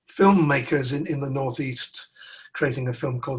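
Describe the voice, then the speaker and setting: Somewhat breathy, this man's voice sits at a fairly high pitch with ordinary pitch variation. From northern England, Newcastle. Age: 60s. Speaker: musician. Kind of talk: interview. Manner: halting, frequent repetitions.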